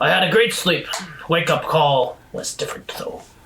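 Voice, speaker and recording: Putting on a character voice, a man delivers his words at a moderate pace. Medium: actual play. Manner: formal, clipped and stern.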